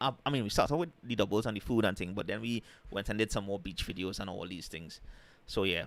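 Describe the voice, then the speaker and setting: A man with a Trinidadian accent and a fairly low pitch, at a very fast pace with ordinary pitch variation, in a very clean recording with a silent background. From Trinidad and Tobago. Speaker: travel and food vlogger. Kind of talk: casual live stream chat. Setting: live stream.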